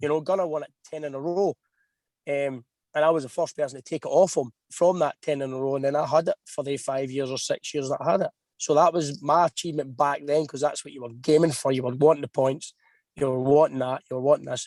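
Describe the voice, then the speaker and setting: A man with a Scottish accent, fairly high in pitch, very fast, with fairly even intonation and a dry, close sound with no echo. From Scotland. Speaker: racing driver. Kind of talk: podcast interview.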